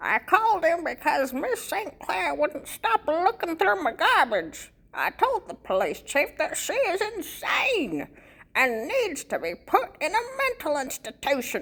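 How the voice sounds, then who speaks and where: A put-on character voice, extremely high in pitch, with very wide pitch swings and a fairly slow pace. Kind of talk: audiobook reading.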